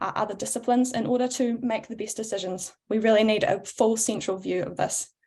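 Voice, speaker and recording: A woman with a New Zealand accent and a fairly high pitch speaks at a fairly quick pace. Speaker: board candidate, power engineer. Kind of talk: candidate speech at panel.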